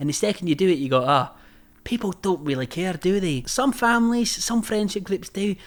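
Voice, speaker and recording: A man with a Scottish accent speaks at a high pitch and a fairly quick pace. His intonation is lively. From Scotland. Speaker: YouTuber. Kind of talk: personal vlog storytelling. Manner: casual.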